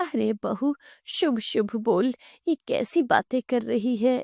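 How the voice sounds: A woman's put-on character voice, fairly high and slightly mellow, slow, with vocal fry, ordinary pitch variation, and a dry, close sound with no echo.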